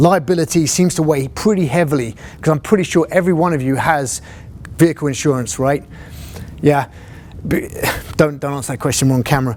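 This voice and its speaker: Amid noticeable background noise, a man with a British accent speaks at fairly high pitch with ordinary pitch variation and long, frequent pauses. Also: fairly quick pace. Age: 40s. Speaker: fire captain and instructor. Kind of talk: lecture. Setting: classroom, video recorded.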